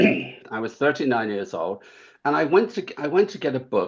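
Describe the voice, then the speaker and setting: With an English accent and vocal fry, a man speaks at a moderate pace, his pitch swinging very widely. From England. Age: 70s. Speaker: author. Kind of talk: interview. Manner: halting.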